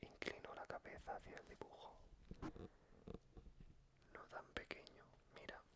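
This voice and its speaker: Someone is whispering at a fairly slow pace. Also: man. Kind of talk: whispered bedtime story reading. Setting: ASMR recording with close microphone. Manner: whispered, soft.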